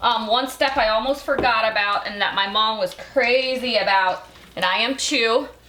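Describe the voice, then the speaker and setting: Over noticeable background noise and audible room echo, a woman talks at a moderate pace with ordinary pitch variation. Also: fairly high pitch for a woman. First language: Belizean Creole. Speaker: cooking show host. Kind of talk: cooking tutorial. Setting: home kitchen. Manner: casual, chatty.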